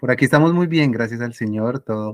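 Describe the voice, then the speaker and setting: This man speaks with a Tolima accent. His pace is moderate. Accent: Tolima Colombian. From Colombia, Ibagué (Tolima). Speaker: interview guest, mathematician. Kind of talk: casual interview.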